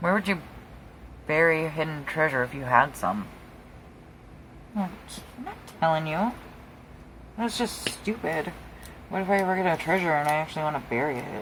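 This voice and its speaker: The speaker has an American accent and a moderate pace, with long, frequent pauses. Noticeable background noise runs underneath. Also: woman. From Wisconsin. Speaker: craft youtuber. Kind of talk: casual chat while crafting. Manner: quieter than usual. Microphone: close to microphone, quiet.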